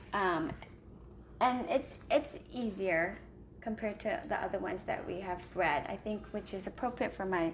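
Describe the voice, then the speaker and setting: This woman has vocal fry and a medium pitch. Her intonation is lively and her pace fairly slow. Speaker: homeschooling parent and video blogger. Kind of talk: casual book review vlog. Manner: hesitant with many fillers.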